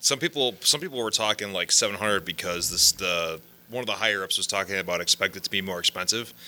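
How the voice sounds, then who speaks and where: A man with a fairly low voice speaks very fast in a bright, sharp tone, the sound dry and close with no echo. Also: ordinary pitch variation. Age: 30s. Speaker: gaming podcast co-host. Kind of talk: casual chat. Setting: office.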